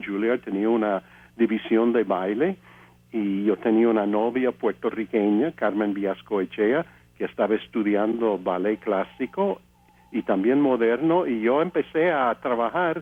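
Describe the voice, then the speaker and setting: A man speaks with an English accent at a fairly slow pace. His intonation is lively. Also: medium pitch for a man. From US, Pennsylvania (Altoona). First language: English (speaking Spanish). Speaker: composer and pianist. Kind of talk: interview testimony. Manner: halting, many fillers.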